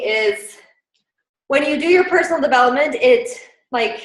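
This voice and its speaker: Audible room echo surrounds a woman whose high pitch makes very wide swings. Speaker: team leader in direct sales business. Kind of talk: team training. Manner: fast.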